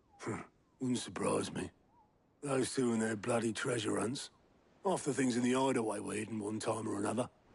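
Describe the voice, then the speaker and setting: Using a put-on character voice, a man speaks at a fairly quick pace with a raspy, medium-pitched sound and long, frequent pauses. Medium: video game. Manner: blunt, gruff.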